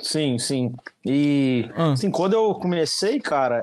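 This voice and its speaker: Here a man has a plain, everyday voice and lively intonation. He goes at a moderate pace. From Minas Gerais, Brazil (Juiz de Fora). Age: 20s. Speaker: social media content creator, digital marketing. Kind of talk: casual interview chat.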